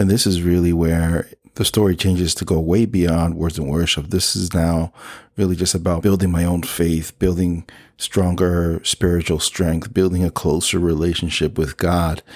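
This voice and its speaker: On a very clean recording with a silent background, a man with a New Jersey accent speaks at a moderate pace in a very deep, low pitch, with monotone, flat intonation and very even loudness. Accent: New Jersey American. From New Jersey (Elizabeth). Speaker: podcast host. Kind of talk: testimony.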